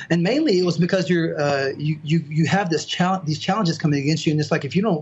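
A man's fairly high voice, very fast, with ordinary pitch variation and an American accent. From US South, southern Mississippi and Alabama (Mobile area). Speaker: biblical languages tutor. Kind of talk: casual chat.

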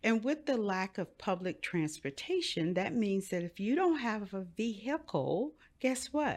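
A woman with an American accent speaks at a medium pitch and a fairly slow pace, with hardly any pauses, very wide pitch swings, and a quiet background. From Miami, Florida. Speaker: pastor and life coach. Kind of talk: interview conversation.

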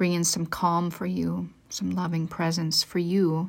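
A woman talks at a fairly slow pace with a medium pitch and fairly even intonation. She has a plain, everyday voice. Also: very clean recording, silent background. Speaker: devotional podcast host. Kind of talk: guided meditation. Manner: slow, soft-spoken, soothing and gentle, with unhurried pauses.

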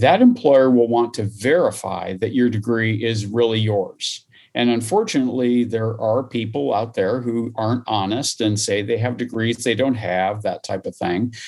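Here a man talks with a Midwestern US accent. He takes hardly any pauses. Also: medium pitch for a man, ordinary pitch variation, moderate pace. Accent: General American, Midwestern. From US Midwest, small-town Iowa. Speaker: higher education administrator. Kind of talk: interview.

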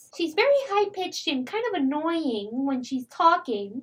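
Using a squeaky, put-on character voice, a woman speaks high-pitched at a moderate pace with very wide pitch swings.

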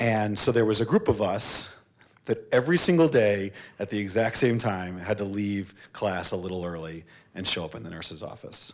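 A man with a fairly low pitch uses an ordinary speaking voice. His pace is moderate, and his loudness swings a lot. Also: ordinary pitch variation. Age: 30s. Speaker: nonprofit co-founder. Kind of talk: live panel discussion. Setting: stage with audience.

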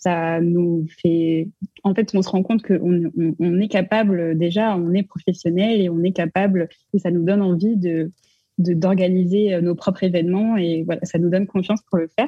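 A woman speaks at a fairly low pitch in a somewhat breathy voice. Her loudness is very even and her intonation fairly even. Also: moderate pace. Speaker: arts management student. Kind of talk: casual chat.

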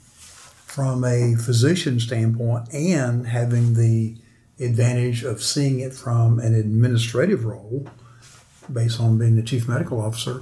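Speech comes at a fairly slow pace. The tone is dark and mellow, with a somewhat breathy quality. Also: man, medium pitch for a man, fairly even intonation. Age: 60s. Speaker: financial planner and podcast host. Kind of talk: interview.

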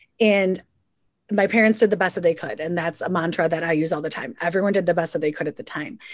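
Against a quiet background, a woman talks at a very fast pace. Her pitch is fairly low, with ordinary variation. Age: 30s. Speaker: podcast host. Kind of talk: casual interview chat. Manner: casual, filler-heavy speech.

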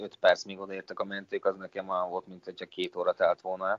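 Here a man is speaking. His pace is very fast. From Vojvodina, Serbia (Senta). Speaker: molecular biologist. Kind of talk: interview.

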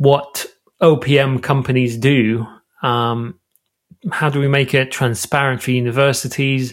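A man talks with fairly even intonation. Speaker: podcast host. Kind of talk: podcast interview.

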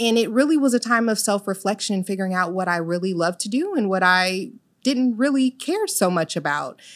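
Speaking at a fairly quick pace in an American accent, a woman with an ordinary speaking voice and medium pitch comes through on a very clean recording with a silent background. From Illinois, of Jamaican parents. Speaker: mental health business owner. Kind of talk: interview.

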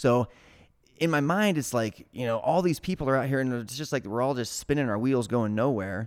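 On a very clean recording with a silent background, a man with an unremarkable speaking voice speaks at medium pitch with lively intonation. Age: 30s. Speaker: startup founder. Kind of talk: casual chat.

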